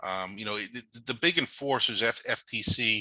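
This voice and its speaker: Against a quiet background, a man with a New York accent talks in a fairly low pitch with a bright, sharp tone. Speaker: cybersecurity and privacy law presenter. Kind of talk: webinar presentation. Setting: online webinar. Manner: halting, many fillers.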